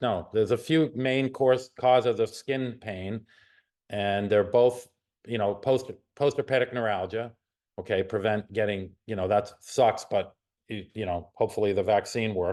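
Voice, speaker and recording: With ordinary pitch movement and a moderate tempo, a man talks in a quiet setting. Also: medium pitch for a man. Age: 60s. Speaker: chiropractor and nerve researcher. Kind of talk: professional webinar discussion. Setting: video call. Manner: halting.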